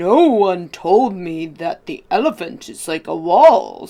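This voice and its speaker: At a fairly slow pace, a put-on character voice speaks at a middle pitch. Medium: read story.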